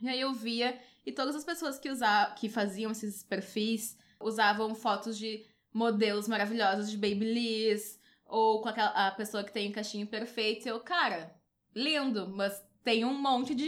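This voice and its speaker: A woman talks at a moderate pace in a plain, everyday voice, her pitch fairly high with ordinary variation. The recording is very clean, with a silent background. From Porto Alegre, southern Brazil. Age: 20s. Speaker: columnist and beauty blogger. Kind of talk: casual chat.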